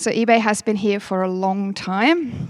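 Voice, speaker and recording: A woman speaks with a German accent. Her pitch varies in an ordinary way. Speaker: company manager, event host. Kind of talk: workshop opening speech. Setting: stage with audience, livestreamed.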